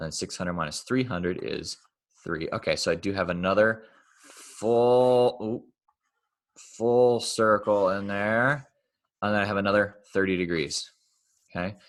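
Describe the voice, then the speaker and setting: At a moderate pace and fairly low pitch, a man talks with ordinary pitch variation and long, frequent pauses against a quiet background. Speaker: math teacher. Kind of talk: lecture. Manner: casual.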